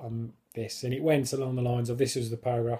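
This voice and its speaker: This man speaks with a British accent. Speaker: person who stammers. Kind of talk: casual talk to camera. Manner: stammering, hesitant.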